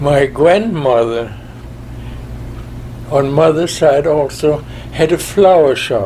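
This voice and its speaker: A man with a fairly high pitch speaks very slowly, leaving long, frequent pauses. Noticeable background noise runs under his voice. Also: ordinary pitch variation. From Germany, Berlin. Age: 90s. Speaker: war veteran. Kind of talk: interview.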